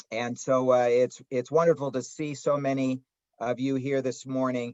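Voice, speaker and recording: In a Chicago accent, a man speaks fairly slowly at a medium pitch with monotone, flat intonation. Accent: Chicago twang. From Chicago area, US Midwest. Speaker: rabbi and history professor. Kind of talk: lecture. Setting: video call. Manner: halting, many filler words.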